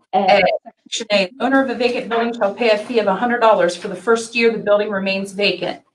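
A woman at a moderate pace, hardly any pauses, fairly even intonation, light background noise. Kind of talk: reading ordinance text aloud. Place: meeting room. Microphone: video call.

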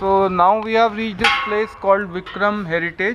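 Fairly even intonation from a man at a moderate pace, his tone bright and sharp, with light background noise behind him. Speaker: motorcycle vlogger. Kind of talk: casual vlog chat. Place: cafe. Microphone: phone near.

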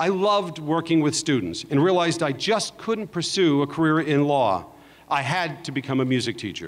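In a Californian accent, the speaker goes at a moderate pace with ordinary pitch variation. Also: man, fairly high pitch for a man. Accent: General American (Californian). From Los Angeles, San Fernando Valley. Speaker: entertainment executive. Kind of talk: commencement speech. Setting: stage with audience. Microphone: podium.

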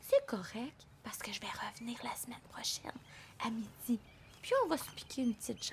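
Over light background noise, a woman does a put-on character voice that is high and raspy, speaking at a fairly quick pace. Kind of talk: bedtime story. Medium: read story. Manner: earnest, pleading, worried.

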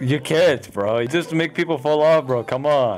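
A man with a fairly high pitch is heard amid noticeable background noise. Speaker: gamer. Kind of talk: gameplay commentary. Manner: loud, screaming.

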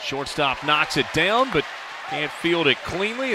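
High-pitched male speech over noticeable background noise. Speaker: baseball play-by-play announcer. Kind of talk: live sports commentary, play-by-play call.

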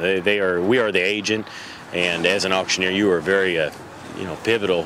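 Here a man speaks at fairly low pitch with ordinary pitch variation. The sound is dry with no echo, though background noise is noticeable. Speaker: livestock auction industry representative. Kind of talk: interview answer. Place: street.

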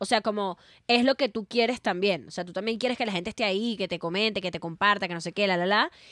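Pitch varies in an ordinary way. The sound is dry with no echo, over a quiet background. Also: woman. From Venezuela. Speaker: comedian. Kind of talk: casual chat. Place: studio. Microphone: studio mic.

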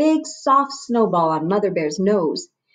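Someone reads aloud plainly, with lively intonation.

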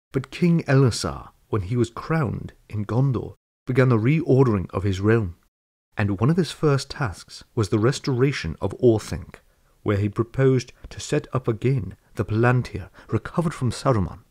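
Against a quiet background, a man with a dark, mellow, somewhat breathy tone speaks at a moderate pace with lively intonation. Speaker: book reader. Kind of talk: audiobook reading of fantasy prose. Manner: measured, even narrative pace; formal, storytelling tone. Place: home room.

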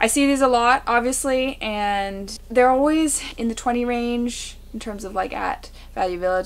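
This woman talks with ordinary pitch variation. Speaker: thrift reseller. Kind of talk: casual vlog chat. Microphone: camera far.

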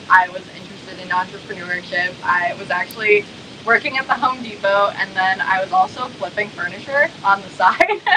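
A woman's voice with noticeable background noise. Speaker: guest. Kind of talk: interview answer. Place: home room. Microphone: video call.

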